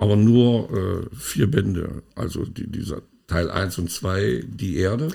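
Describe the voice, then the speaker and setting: Speaking at a very slow pace, a man with a fairly low pitch shows vocal fry, a dark, mellow tone and lively intonation. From East Germany. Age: 60s. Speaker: podcast co-host. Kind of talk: casual chat.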